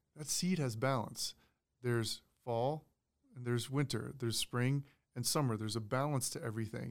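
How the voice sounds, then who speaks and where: A normal speaking voice, a man at medium pitch and fairly quick pace. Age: 30s. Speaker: purpose coach and former pro football player. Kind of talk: casual interview chat.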